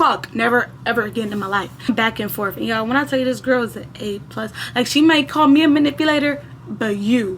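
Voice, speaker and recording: Noticeable background noise runs beneath the speech. The delivery is fairly quick, with lively intonation. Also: woman. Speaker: storytime youtuber. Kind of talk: casual storytime monologue. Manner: animated.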